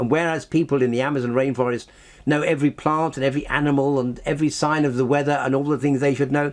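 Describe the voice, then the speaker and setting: Talking very fast at medium pitch in an English accent, a man is heard against a quiet background. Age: 80s+. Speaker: scientist and author. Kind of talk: interview. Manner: animated.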